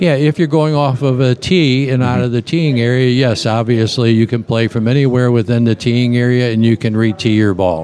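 Over noticeable background noise, a man at medium pitch talks at a fairly quick pace with ordinary pitch variation and hardly any pauses. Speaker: golf rules official. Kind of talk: interview. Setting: outdoors at a golf course.

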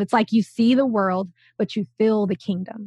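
A woman speaks in a normal speaking voice at a medium pitch, fairly slowly. Her intonation is fairly even, and the sound is dry and close with no echo. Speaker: spiritual teacher, new podcast host. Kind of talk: casual conversation.

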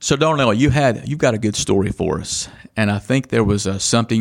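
Here a man talks at a fairly quick pace, in a fairly low pitch with ordinary pitch variation. He has an ordinary speaking voice. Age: 40s. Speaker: podcast host and insurance agent. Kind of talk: casual interview.

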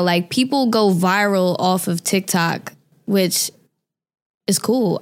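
A woman with an American accent and an unremarkable speaking voice, medium pitch and ordinary pitch variation, on a very clean recording with a silent background. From New York, Staten Island. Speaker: singer and rapper. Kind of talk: interview.

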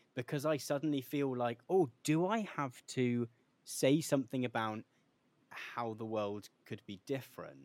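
Speaking at a fairly slow pace, a man uses an ordinary speaking voice. His pitch sits in the medium range and varies in an ordinary way. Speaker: podcast host. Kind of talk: casual interview chat.

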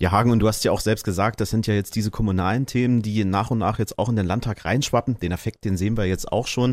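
In a very clean recording with a silent background, a man with a fairly low pitch speaks at a very fast pace with hardly any pauses, very even loudness and fairly even intonation. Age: 30s. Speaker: radio host. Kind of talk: casual discussion.

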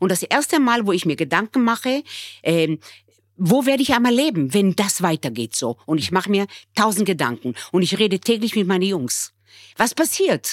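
This woman's medium-pitched voice swings very widely in pitch and carries vocal fry, recorded with a dry, close sound and no echo. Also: moderate pace. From Israel, raised in Bremen from age nine. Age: 60s. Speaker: restaurateur. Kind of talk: emotional conversation.

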